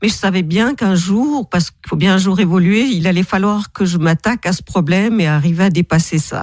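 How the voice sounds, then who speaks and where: A woman with a plain, everyday voice talks at a fairly quick pace with hardly any pauses, ordinary pitch variation and big swings in loudness, the sound dry and close with no echo. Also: medium pitch for a woman. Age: 60s. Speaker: author and therapist. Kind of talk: radio interview.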